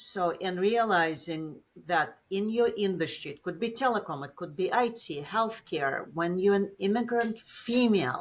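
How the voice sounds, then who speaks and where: The speaker, with a Russian accent, uses lively intonation at a fairly slow pace with hardly any pauses. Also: woman, medium pitch for a woman. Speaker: business executive. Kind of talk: interview.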